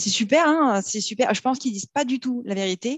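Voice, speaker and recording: A woman speaks at a moderate pace. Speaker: business owner in debt collection. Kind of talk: casual interview chat. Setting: studio, recorded in person. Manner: animated, laughing often.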